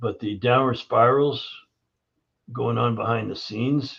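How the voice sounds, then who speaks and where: With vocal fry and fairly even intonation, a man speaks fairly slowly at a medium pitch. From Canada, Toronto. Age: 70s. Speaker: holistic health practitioner. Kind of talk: podcast interview.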